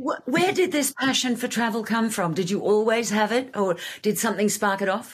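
Someone speaks with an Australian accent at a moderate pace. The voice is somewhat breathy. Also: woman, fairly high pitch for a woman, lively intonation, very even loudness. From Australia (Sydney). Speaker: podcast host. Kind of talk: casual interview chat.

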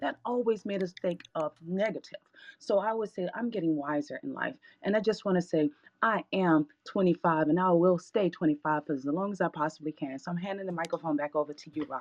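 At a fairly quick pace, a woman with a fairly low pitch and an ordinary speaking voice talks with ordinary pitch variation in a dry, close sound with no echo. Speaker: audience participant. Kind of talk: casual chat. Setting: live online audio room.

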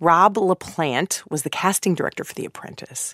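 Dry and close with no echo, a woman's fairly low voice comes at a moderate pace on a very clean recording with a silent background. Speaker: podcast host. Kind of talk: scripted narration with interview clips.

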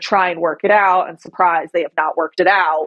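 A woman talks in a plain, everyday voice at medium pitch. Her intonation stays fairly even. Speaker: attorney. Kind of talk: casual interview.

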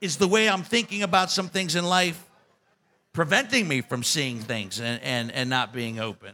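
A man's fairly high-pitched, bright, sharp voice at a moderate pace with ordinary pitch variation.

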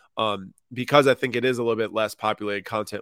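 The man's pitch sits fairly low, his intonation monotone and flat. The sound is dry and close with no echo. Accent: American. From US Midwest, Minnesota/Wisconsin. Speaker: sports card business founder. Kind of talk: casual interview.

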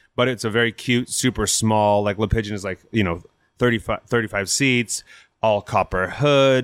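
Using a normal speaking voice with an American accent, a man talks at a fairly low pitch with fairly even intonation, in a very clean recording with a silent background and a dry, close sound with no echo. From US West Coast (Napa, California). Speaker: chef and restaurant owner. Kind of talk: interview. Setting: in person at his restaurant.

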